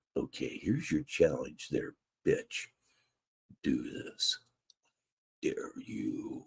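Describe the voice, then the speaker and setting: In a put-on character voice, a man speaks at an extremely high pitch and a very slow pace, with long, frequent pauses. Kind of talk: radio. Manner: challenging, teasing.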